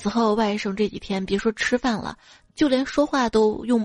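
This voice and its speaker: Over music in the background, a woman speaks at a fairly high pitch and a moderate pace, with a dry, close sound and no echo. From northwest China. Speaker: podcast host. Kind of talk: comedic monologue, jokes and listener comments. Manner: animated.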